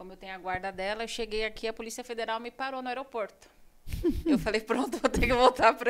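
Very fast and with big swings in loudness, a woman talks with ordinary pitch variation. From Brazil, São Paulo state. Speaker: beautician and entrepreneur. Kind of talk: interview. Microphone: too far from mic, may sound quiet.

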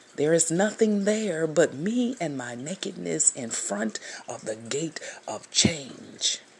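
A very unhurried delivery with noticeable noise behind it. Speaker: spiritual speaker or devotional leader. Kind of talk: fervent prayer, spiritual devotional monologue. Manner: fervent, earnest, slow and meditative with sighs.

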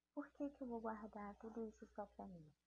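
Somewhat breathy, this voice carries a dark, mellow tone. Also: woman. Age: 30s. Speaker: evangelical podcaster. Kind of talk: devotional talk.

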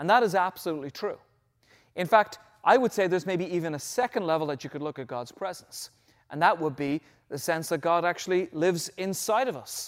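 An Irish accent on a very clean recording with a silent background. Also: man. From Ireland. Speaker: pastor. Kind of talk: sermon. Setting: church.

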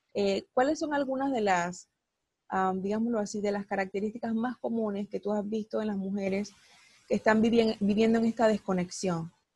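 With a dark, mellow tone, a woman of medium pitch sounds somewhat breathy at a moderate pace, in a dry, close sound with no echo and a quiet background. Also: ordinary pitch variation. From Latin America. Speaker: psychologist and life coach, podcast host. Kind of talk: interview.

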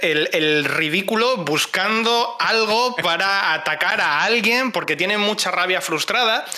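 A man speaking very slowly in a raised, projected voice with lively intonation. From Spain, Cáceres (Extremadura). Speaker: community manager and streamer. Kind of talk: casual chat.

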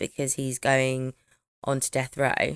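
In a British accent, a woman with a very deep, low pitch sounds animated, the recording dry and close with no echo. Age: 30s. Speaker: true crime podcast co-host. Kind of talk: casual chat. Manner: animated, laughing often.

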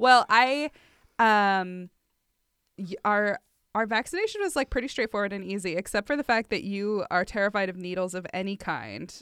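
A woman talks in a normal speaking voice at a medium pitch and moderate pace, with ordinary pitch variation. The sound is dry and close, with no echo. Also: very clean recording, silent background. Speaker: podcast co-host. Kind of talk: casual chat. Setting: home recording. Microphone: brand new microphone and preamp.

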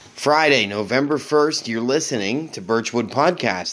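This man has a plain, everyday voice with ordinary pitch variation, speaking at a fairly slow pace. The recording is very clean, with a silent background. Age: 40s. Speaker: podcast host. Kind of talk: casual chat.

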